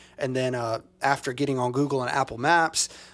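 A man with an American accent and a plain, everyday voice, medium-pitched and fairly quick. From US South, small-town Mississippi. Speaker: church co-founder, podcast co-host. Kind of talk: casual chat.

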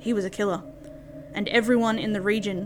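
Over music in the background, a woman with a medium-pitched voice talks at a fairly quick pace. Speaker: podcast host. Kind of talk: ghost story telling, reading aloud a scripted urban legend. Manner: steady, narrative storytelling pace.

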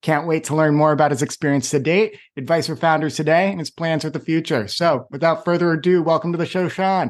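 A man talks at a fairly quick pace with a fairly high pitch, fairly even intonation and hardly any pauses. His is an unremarkable speaking voice, heard over a quiet background. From Boston. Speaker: podcast host. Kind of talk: interview.

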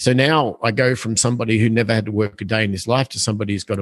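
In a dry, close sound with no echo, a man with an ordinary speaking voice talks at a fairly low pitch and a fairly quick pace, with ordinary pitch variation. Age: 50s. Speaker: real estate investor. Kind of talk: interview.

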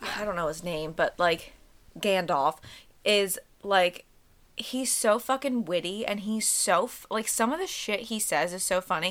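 A woman's normal speaking voice, medium in pitch with ordinary pitch variation, at a fairly slow pace. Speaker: podcast co-host. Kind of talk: casual chat.

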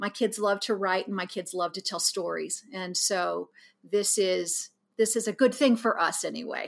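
A woman with a Midwestern American accent speaks at a moderate pace in a medium-pitched voice with vocal fry and fairly even intonation. The recording is very clean, with a silent background. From Kansas. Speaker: high school yearbook advisor. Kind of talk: interview conversation.

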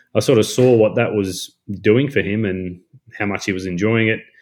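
This man has a strong Australian accent and a fairly low pitch. He speaks at a moderate pace. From North Queensland, Australia. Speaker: woodworking content creator. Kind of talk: casual chat.

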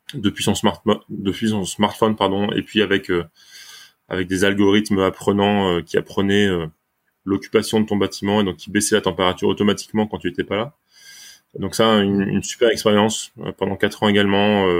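Fairly quick and flat in a monotone, a man talks with a fairly low pitch. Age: 30s. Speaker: startup founder, engineer. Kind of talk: casual interview.

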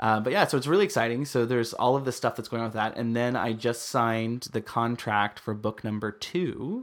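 An American-accented man at a medium pitch, moderate pace and ordinary pitch variation, in a very clean recording with a silent background. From US Midwest. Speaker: podcast host. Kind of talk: casual chat.

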